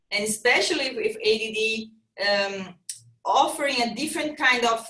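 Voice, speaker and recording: A woman with a Brazilian accent speaks at a moderate pace in a high, bright, sharp voice with ordinary pitch variation. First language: Portuguese. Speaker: fitness trainer and triathlete. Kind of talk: casual interview chat. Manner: halting, with repetitions.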